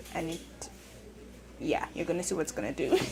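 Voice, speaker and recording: A woman's voice with noticeable background noise. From Jamaica. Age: 20s. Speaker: vlogger. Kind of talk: casual vlog narration. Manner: casual, hesitant.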